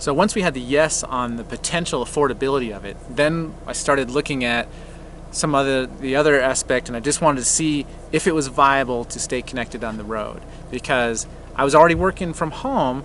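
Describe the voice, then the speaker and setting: A man with an American accent talks at a fairly quick pace. His pitch is fairly high with ordinary variation, and there is noticeable background noise. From Colorado, Denver area. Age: 40s. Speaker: RV travel vlogger. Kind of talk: casual conversation.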